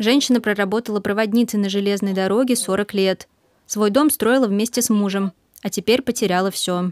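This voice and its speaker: A woman with an unremarkable speaking voice talks at a fairly quick pace, her medium pitch and intonation fairly even. The recording is very clean and dry, with a close sound, no echo and a silent background. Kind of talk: TV news report narration.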